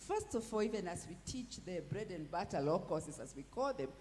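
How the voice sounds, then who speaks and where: A woman with lively intonation speaks at a moderate pace, her voice somewhat breathy. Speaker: law professor. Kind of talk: panel discussion. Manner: halting, many repetitions.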